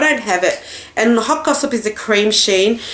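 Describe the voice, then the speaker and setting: Over noticeable background noise, a woman with a fairly high pitch speaks at a moderate pace in an Australian accent. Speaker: beauty vlogger. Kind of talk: product haul review. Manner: casual, chatty.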